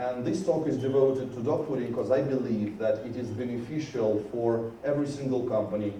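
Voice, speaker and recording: There is audible room echo and noticeable background noise. A man talks at a moderate pace with ordinary pitch variation. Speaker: software conference speaker. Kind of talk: conference talk. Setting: stage with audience.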